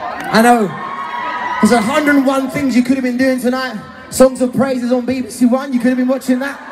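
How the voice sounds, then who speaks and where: Someone talks at a moderate pace with crowd noise in the background. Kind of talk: stage banter to audience. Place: stadium.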